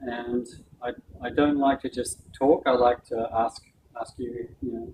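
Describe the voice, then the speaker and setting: With a New Zealand accent, a man speaks at a medium pitch. His intonation is flat and monotone, and background noise is noticeable. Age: 60s. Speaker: doctor giving a health talk. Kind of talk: talk with Q and A.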